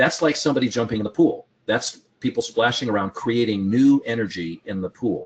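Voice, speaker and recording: In an ordinary speaking voice, a man talks at a medium pitch and moderate pace with lively intonation. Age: 60s. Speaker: trading educator. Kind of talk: casual chat.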